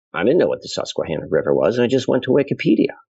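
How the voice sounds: With vocal fry and a slightly husky edge, a man speaks at a medium pitch in a slightly mellow tone.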